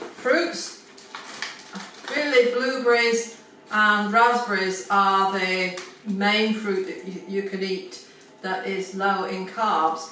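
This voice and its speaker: A woman at medium pitch and very slow pace, with ordinary pitch variation, long, frequent pauses, big swings in loudness and noticeable background noise. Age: 70s. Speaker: pensioner. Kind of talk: casual talk to camera.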